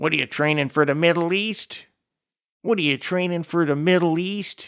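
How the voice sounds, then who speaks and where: A man puts on a character voice at a high pitch. He speaks at a moderate pace. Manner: mocking, taunting.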